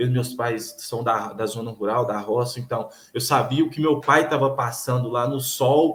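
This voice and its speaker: This voice belongs to a man at medium pitch. The intonation is fairly even throughout. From Minas Gerais, Brazil (north, near Bahia). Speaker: PhD student in physical education. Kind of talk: casual interview conversation. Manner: hesitant, repeats words.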